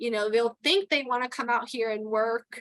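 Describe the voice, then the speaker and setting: A woman with a Texan accent, fairly high in pitch, bright and sharp in tone, with ordinary pitch variation, in a dry, close sound with no echo. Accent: Texan accent, formerly New York. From New York (Queens). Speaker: towboat pilot and port captain. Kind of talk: interview conversation. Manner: casual with many fillers.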